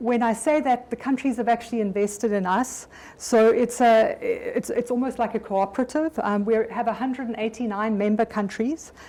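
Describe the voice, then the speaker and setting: A woman speaks at a fairly high pitch. Her pace is moderate and her intonation fairly even. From South Africa. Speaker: occupational health physician, development bank staff, speaker. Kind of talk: conference presentation. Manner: halting, with frequent fillers and repetitions.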